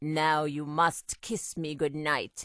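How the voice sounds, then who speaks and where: A put-on character voice at a middle pitch. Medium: read story.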